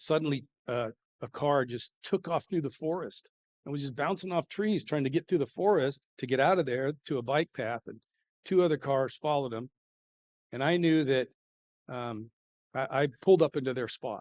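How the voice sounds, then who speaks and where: In a dry, close sound with no echo, a man with a fairly high voice and ordinary pitch variation talks at a moderate pace with long, frequent pauses. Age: 60s. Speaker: high school football coach. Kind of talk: motivational talk. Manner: animated.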